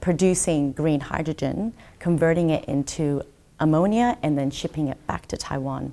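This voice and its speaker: A woman's very deep, low voice with a dark, mellow tone, ordinary pitch variation and an Australian accent. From Brisbane, Australia. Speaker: trade commissioner. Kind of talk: interview.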